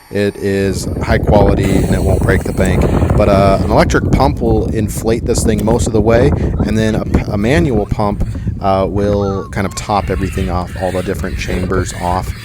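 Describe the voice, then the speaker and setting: Audible room echo and noticeable background noise around a voice at a moderate pace. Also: man, fairly low pitch for a man, ordinary pitch variation. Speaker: DIY outdoor gear youtuber. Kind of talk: product tutorial. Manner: casual with many fillers.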